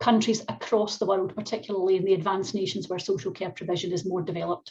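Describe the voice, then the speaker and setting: Someone with a Scottish accent talks at a fairly quick pace. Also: woman. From Scotland, Glasgow. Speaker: professor. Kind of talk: keynote lecture. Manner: fast when excited.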